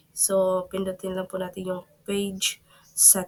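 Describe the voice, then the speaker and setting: Speaking at a fairly slow pace, a woman uses a medium pitch. Noticeable background noise can be heard. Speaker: tech tutorial YouTuber. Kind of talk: screen-recorded tutorial. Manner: polite, halting with fillers.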